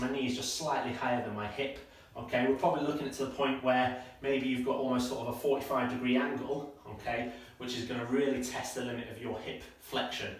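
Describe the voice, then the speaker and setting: There is audible echo in the room while a man talks at a fairly quick rate. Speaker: running coach. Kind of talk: tutorial. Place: home room. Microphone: camera far.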